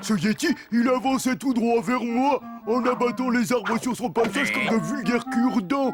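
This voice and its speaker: Faint music plays in the background as a man does a cartoonish character voice at an extremely high pitch and a moderate pace. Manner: shifty, fawning to boss.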